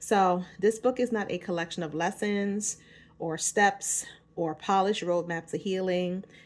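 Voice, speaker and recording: Pitched fairly low with ordinary pitch variation, a woman speaks with a New York accent. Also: very clean recording, silent background. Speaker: author and self-help vlogger. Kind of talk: casual vlog book promotion. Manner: casual, informal.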